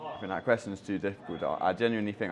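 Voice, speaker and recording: Fairly even intonation in a London accent. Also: man. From London, England. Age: 20s. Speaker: backpacker. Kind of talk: interview. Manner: hesitant, many fillers and repetitions.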